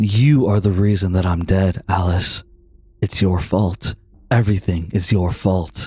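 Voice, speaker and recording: In a put-on character voice, a man whispers with a menacing tone at a fairly slow pace, his loudness very even throughout. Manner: menacing whisper.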